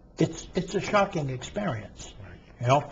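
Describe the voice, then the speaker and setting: Somewhat breathy and fairly high-pitched, a man with an American accent speaks at a moderate pace with lively intonation. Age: 60s. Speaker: former prisoner and reform advocate. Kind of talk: interview. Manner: animated.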